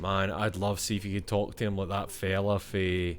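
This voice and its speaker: A man speaks with a Scottish accent. His voice is fairly low in pitch. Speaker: gaming streamer. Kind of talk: let's play commentary. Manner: animated.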